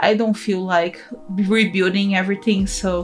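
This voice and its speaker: Woman with a Portuguese accent at a medium pitch and moderate pace, music in the background. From Brazil. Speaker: gaming YouTuber. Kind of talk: voiceover commentary on a speed build. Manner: casual, occasionally halting over words.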